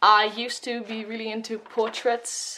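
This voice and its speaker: Speaking at a fairly slow pace is a woman. Her pitch is fairly high. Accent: Dutch. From Netherlands. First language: Dutch. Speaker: art YouTuber. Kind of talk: voiceover sketchbook tour. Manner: hesitant, many fillers.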